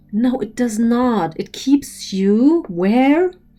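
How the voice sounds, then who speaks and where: Over music in the background, a woman with a German accent speaks at a very slow pace with lively intonation. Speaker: spiritual teacher. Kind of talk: lecture. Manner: animated; halting.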